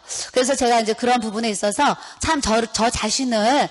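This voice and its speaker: Over noticeable background noise, a woman with a fairly high voice sounds animated and speaks at a fairly quick pace. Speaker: pastor's wife. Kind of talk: sermon. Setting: seminar audience. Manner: fast.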